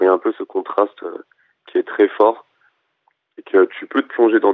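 A man talks at a fairly quick pace. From Madagascar, then raised in France. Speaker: rapper. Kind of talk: interview. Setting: phone call.

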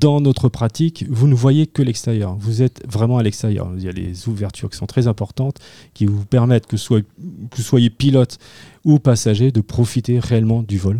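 At a moderate pace, a man talks in a dark, mellow tone, with a dry, close sound, no echo and a very clean recording with a silent background. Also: medium pitch for a man, ordinary pitch variation. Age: 50s. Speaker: amateur pilot, aero club board member. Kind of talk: radio interview.

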